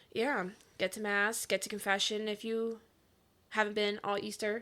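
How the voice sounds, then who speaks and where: A woman's loud voice has a bright, sharp tone and a fairly high pitch, delivered with monotone, flat intonation. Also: moderate pace, very clean recording, silent background. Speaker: podcast co-host. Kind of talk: casual chat.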